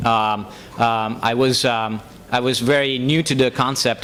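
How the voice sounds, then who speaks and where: A man with an Italian accent speaks at a medium pitch in a monotone, flat delivery. Audible room echo surrounds his voice. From Italy. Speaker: software engineer. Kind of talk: public speech. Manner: halting, many fillers.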